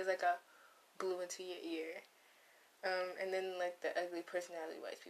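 A quiet woman's voice, medium in pitch, at a fairly quick pace. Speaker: podcast host, college student. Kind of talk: casual solo monologue. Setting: dorm room. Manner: quiet, low energy.

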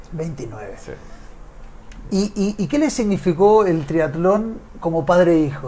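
A man speaks at a very slow pace in a high voice with very wide pitch swings, stopping often for long pauses. Background noise is noticeable throughout. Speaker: triathlon show host. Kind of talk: interview.

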